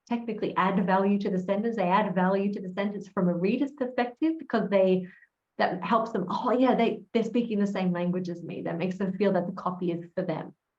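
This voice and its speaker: With an American accent, a woman speaks at a fairly quick pace in a somewhat breathy, medium-pitched voice with ordinary pitch variation. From Australia. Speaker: copywriter, conference speaker. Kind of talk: casual interview conversation.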